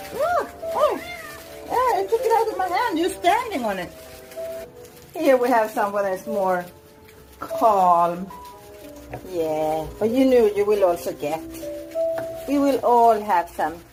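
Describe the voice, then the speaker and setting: With music in the background, a woman talks at a fairly slow pace, leaving long, frequent pauses. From Sweden. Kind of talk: casual vlog talk to camera.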